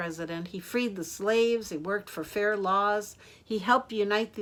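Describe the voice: Ordinary pitch variation in plain reading aloud.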